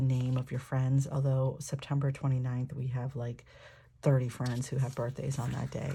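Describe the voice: The voice is croaky, with vocal fry and a dark, mellow tone. Its intonation stays monotone and flat. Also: woman.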